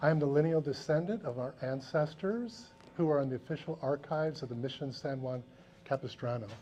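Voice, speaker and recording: A man with an American accent speaks at a fairly quick pace in a fairly high, somewhat breathy voice with a dark, mellow tone and ordinary pitch variation. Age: 60s. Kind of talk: educational talk to students. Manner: conversational, frequent 'right?' tags.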